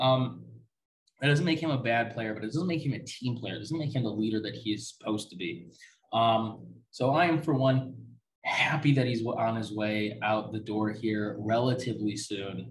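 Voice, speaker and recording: Somewhat breathy and medium in pitch, a man speaks at a moderate pace with ordinary pitch variation, and audible room echo surrounds him. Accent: American. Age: 20s. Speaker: sports podcast host. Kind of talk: solo sports talk podcast. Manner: casual, many filler words (um, uh).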